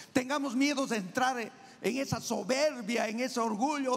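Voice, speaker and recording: A loud man's voice at an extremely high pitch, animated in tone, with ordinary pitch variation, a fairly slow pace and noticeable background noise. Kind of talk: sermon. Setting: church.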